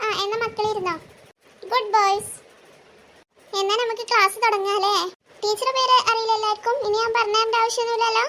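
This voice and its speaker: This is a cartoonish character voice that sounds female, pitched extremely high. It moves at a moderate pace with monotone, flat intonation. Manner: sweet, motherly, coaxing.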